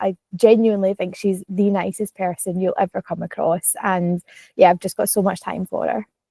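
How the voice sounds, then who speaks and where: A woman with a Glaswegian accent speaks at a fairly quick pace in a flat monotone, her tone dark and mellow, and the sound is dry and close with no echo. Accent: Glaswegian Scottish. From Scotland, Glasgow. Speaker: content creator, vlogger. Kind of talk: casual podcast chat. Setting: podcast recording.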